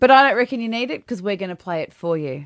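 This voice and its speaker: A woman with an Australian accent speaks at a fairly high pitch with very wide pitch swings over noticeable background noise. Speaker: radio host. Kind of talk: casual chat. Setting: studio.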